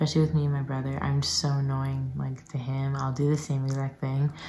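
A woman with a very deep, low pitch talks at a fairly quick pace over light background noise. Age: young. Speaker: peer health educator. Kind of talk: casual talk to camera. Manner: whispered. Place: home room. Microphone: phone near.

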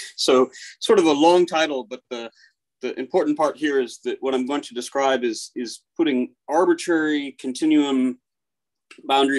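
Ordinary pitch variation from a man at a moderate pace, over a quiet background. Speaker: speaker. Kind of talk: lecture. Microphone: video call.

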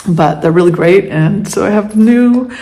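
The pitch moves in an ordinary way. A woman delivers her words at a moderate pace. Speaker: vlogger. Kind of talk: casual vlog chat. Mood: relaxed, cheerful. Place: home room. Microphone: phone near.

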